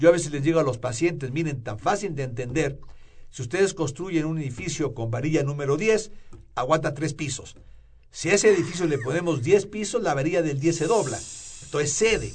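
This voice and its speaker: Amid audible room echo, a man with a fairly high pitch talks fairly quickly with lively intonation. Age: 60s. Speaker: rheumatologist. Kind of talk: radio health interview.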